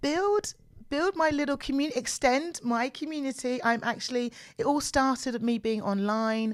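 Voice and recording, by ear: A woman's fairly high pitch with ordinary pitch variation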